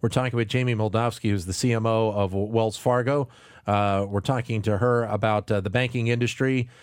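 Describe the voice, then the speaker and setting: Over a silent background on a very clean recording, a man of medium pitch speaks fairly quickly with fairly even intonation and very even loudness. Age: 40s. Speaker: radio host. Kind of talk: radio interview. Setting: studio. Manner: halting, repeats words.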